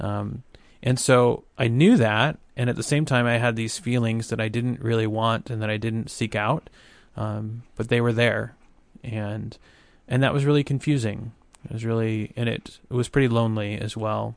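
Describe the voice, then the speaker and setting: A man with a normal speaking voice talks at a moderate pace, keeping a medium pitch and fairly even intonation over a quiet background. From US South, small-town Arkansas. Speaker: ministry director. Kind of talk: testimony.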